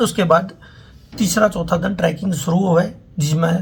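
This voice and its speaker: Speaking with a Haryana accent, a man holds a high pitch and fairly even intonation. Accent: Haryanvi. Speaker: travel vlogger. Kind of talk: casual talk to camera.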